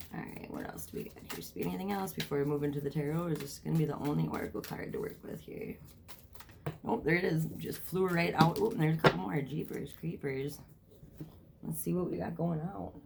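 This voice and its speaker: In a room with audible echo, a woman talks very fast in a very deep, low voice with vocal fry and very wide pitch swings. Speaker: tarot reader. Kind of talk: tarot reading vlog. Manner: casual, filler words.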